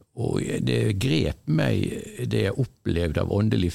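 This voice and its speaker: A man's very deep, low-pitched voice, dark and mellow with vocal fry, at a very slow pace with very wide pitch swings. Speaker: college staff member. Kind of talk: casual chat.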